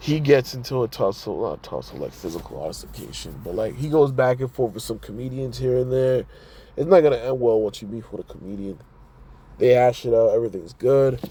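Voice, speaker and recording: A man's dark, mellow, somewhat breathy voice at medium pitch, fairly quick, with ordinary pitch variation and big swings in loudness. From Toronto, Canada. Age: 30s. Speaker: podcast host. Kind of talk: casual solo podcast commentary. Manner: rambling, conversational; halting, repeats words.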